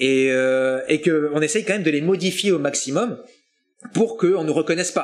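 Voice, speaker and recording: A man speaks at a moderate pace with ordinary pitch variation and very even loudness. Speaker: voice actor. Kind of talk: interview. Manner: hesitant.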